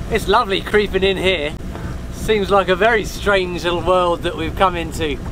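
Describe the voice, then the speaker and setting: A man with a high pitch speaks at a moderate pace with fairly even intonation. The sound is dry with no echo, with noticeable background noise. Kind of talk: casual vlog chat. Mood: relaxed and happy. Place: boat.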